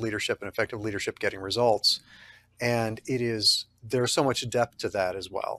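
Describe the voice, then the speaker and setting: Here a man with an American accent talks at a fairly quick pace. His medium pitch shows ordinary variation. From Texas. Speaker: podcast host, physician. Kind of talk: interview. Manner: enthusiastic.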